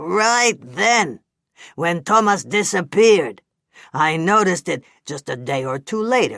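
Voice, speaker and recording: Middle pitch and fairly slow pace in a put-on character voice. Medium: read story. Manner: chatty, grumbling.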